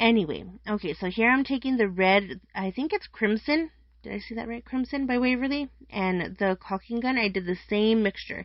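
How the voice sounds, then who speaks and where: A woman talks at a moderate pace in a normal speaking voice. Her pitch is fairly high, with ordinary variation. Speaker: craft youtuber. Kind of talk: tutorial. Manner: casual.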